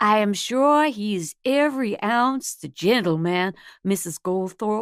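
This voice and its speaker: A guttural, put-on character voice with a Southern US accent speaks at a fairly slow pace with lively intonation. The sound is dry and close, with no echo. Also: woman, medium pitch for a woman. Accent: Southern belle. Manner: comically exaggerated, polite.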